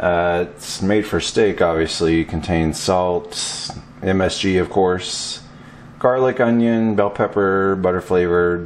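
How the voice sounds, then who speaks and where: Very deep and low, a man's voice moves at a very slow pace with fairly even intonation over light background noise. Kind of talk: tutorial. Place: kitchen. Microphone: camera far.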